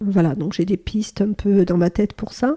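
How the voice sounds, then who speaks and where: In a dry, close recording with no echo, a woman speaks at medium pitch with a dark, mellow tone, ordinary pitch variation and a somewhat breathy quality. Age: 60s. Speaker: psychotherapist and training company manager. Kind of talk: podcast interview. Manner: hesitant, many fillers.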